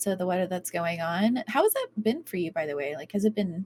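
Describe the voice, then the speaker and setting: Soft-spoken, fairly quick speech with ordinary pitch variation and a dry, close sound with no echo. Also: woman. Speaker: podcast co-host. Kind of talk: casual chat. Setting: live stream.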